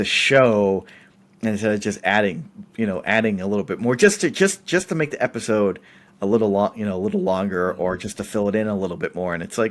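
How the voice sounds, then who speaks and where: Here is a man with an unremarkable speaking voice and an American accent. His pitch is fairly low and his intonation lively. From central Massachusetts. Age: 30s. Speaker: podcast guest, film industry worker. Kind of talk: casual chat.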